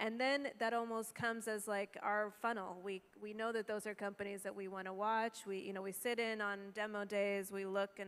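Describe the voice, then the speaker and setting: A fairly quick delivery with a monotone, flat intonation. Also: woman. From outside Africa. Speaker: venture capital investor. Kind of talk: panel discussion. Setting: stage with audience. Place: stage. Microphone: handheld.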